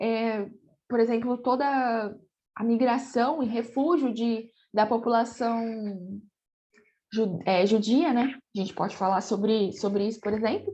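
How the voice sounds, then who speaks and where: A woman's fairly slow speech at a fairly high pitch, dark, mellow tone and ordinary pitch variation, with long, frequent pauses and a quiet background. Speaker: geography teacher. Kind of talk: recorded online lecture. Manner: animated.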